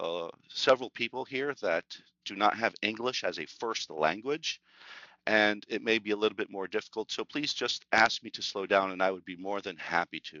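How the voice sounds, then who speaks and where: A man speaks at a fairly low pitch with ordinary pitch variation. His loudness swings widely. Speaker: sales executive presenting a webinar. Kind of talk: webinar presentation. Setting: online webinar. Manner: fast when excited; many fillers (uh, um).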